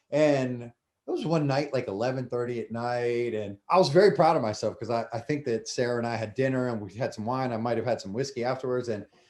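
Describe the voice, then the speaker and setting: With an American accent, a man speaks in an ordinary speaking voice at a medium pitch with ordinary pitch variation. His pace is fairly quick, with hardly any pauses. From US, Delaware. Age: 40s. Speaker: former chef and restaurant owner. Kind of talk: casual interview chat.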